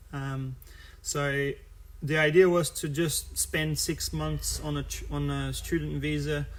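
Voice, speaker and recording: A man with a Brazilian Portuguese accent speaking very slowly, with audible room echo. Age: 30s. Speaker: futsal coach. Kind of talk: live stream talk about his career. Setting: live stream video. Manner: halting, many fillers.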